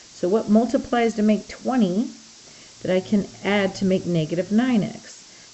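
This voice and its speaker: With ordinary pitch variation and a moderate pace, a woman talks over noticeable background noise. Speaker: math teacher. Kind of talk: recorded math lesson. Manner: conversational, thinking aloud.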